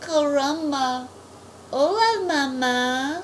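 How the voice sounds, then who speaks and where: Over clear background noise comes a put-on character voice with a high pitch. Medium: read story. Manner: comic overacting.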